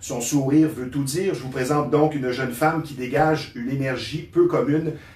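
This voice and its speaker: There is audible room echo as a man with a fairly high pitch talks at a fairly quick pace with fairly even intonation. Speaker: talk show host. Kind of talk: scripted introduction; interview. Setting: studio.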